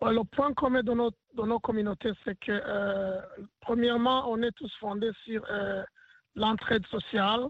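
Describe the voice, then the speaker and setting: Very slow, with long and frequent pauses, a man speaks at an extremely high pitch with fairly even intonation. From Burundi. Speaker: community leader and basketball team head. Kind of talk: interview. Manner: hesitant, many fillers.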